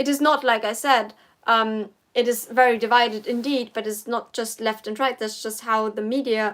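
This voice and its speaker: A woman's fairly high voice in a German accent, with fairly even intonation, on a very clean recording against a silent background. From Germany. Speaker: political commentator. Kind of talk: casual livestream Q&A. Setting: livestream. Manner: halting.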